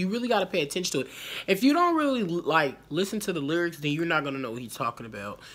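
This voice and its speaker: Over music in the background, a woman with a fairly low pitch makes very wide pitch swings. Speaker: reaction vlogger. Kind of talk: casual vlog chat. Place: home room. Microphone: phone near.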